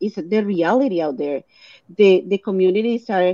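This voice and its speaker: A woman's dark, mellow voice with a Latin American accent and lively intonation, at a moderate pace, dry and close with no echo. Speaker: clinical research site co-owner.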